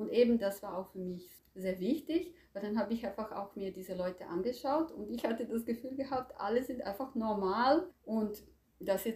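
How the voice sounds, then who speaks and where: Here a woman talks in a Croatian accent with lively intonation. Her tone is dark, mellow, and somewhat breathy. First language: Croatian (speaking German). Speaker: language teacher. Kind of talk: interview. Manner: hesitant, with fillers.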